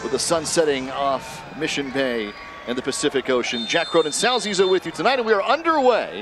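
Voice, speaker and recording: A man with lively intonation talks over noticeable background noise. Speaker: play-by-play commentator. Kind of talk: live match commentary.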